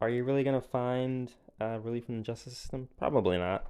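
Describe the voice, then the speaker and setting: Against a quiet background, a man speaks at a moderate pace in a dark, mellow tone with ordinary pitch variation. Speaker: podcast host. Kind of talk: casual monologue movie review. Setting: pacing around while recording. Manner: halting, many fillers.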